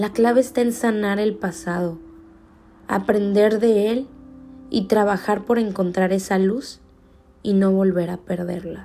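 A woman's dark, mellow tone at a fairly slow pace, broken by long, frequent pauses. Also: medium pitch for a woman, ordinary pitch variation. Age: 20s. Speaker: podcast host, law student. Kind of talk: personal reflection monologue.

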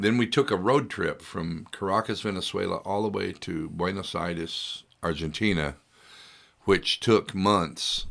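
The recording is very clean, with a silent background. The speaker talks in a Texan accent at a fairly slow pace with ordinary pitch variation. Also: man, fairly low pitch for a man. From Texas, Hill County. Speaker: singer-songwriter. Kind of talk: casual chat. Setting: studio. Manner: halting.

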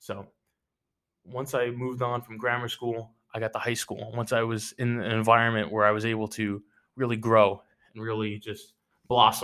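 A man talks at a medium pitch and a moderate pace, with a bright, sharp tone. His intonation is monotone and flat, broken by long, frequent pauses. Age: 18. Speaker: cadet student, musician. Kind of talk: casual chat.

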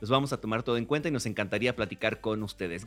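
Speaking very fast, a man rushes through his words. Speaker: film podcast co-host. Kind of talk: casual chat.

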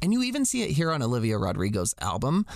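With lively intonation and an unremarkable speaking voice, a man talks at a fairly quick pace against a quiet background. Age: 30s. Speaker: podcast host. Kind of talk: casual chat.

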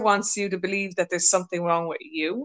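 A woman's medium-pitched voice, an ordinary speaking voice, with fairly even intonation. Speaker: podcast host. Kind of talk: casual interview chat.

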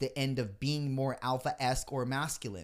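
On a very clean recording with a silent background, a man talks in an unremarkable speaking voice. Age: 30s. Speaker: podcast host. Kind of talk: casual chat.

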